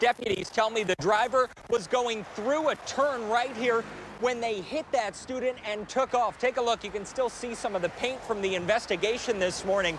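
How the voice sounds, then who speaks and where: A man with an American accent speaks at an extremely high pitch, with ordinary pitch variation. His pace is moderate with hardly any pauses, over noticeable background noise. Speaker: TV news reporter and weekend anchor. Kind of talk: TV news reporter package and live stand-up.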